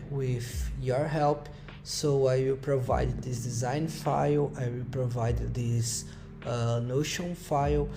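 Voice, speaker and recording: Music plays behind a man speaking at a very slow pace and medium pitch, with audible room echo. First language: Portuguese. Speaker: software developer. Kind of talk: coding tutorial. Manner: halting.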